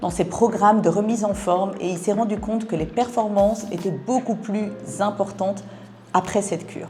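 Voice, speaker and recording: A woman with a medium pitch and ordinary pitch variation talks while noticeable background noise carries on. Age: 50s. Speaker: wellness product seller. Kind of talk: sales pitch.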